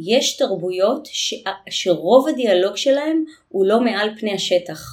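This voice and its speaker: Here is a woman with a plain, everyday voice, pitched fairly high. She talks at a fairly slow pace with lively intonation. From Israel. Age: 40s. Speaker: intercultural communication consultant. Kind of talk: interview.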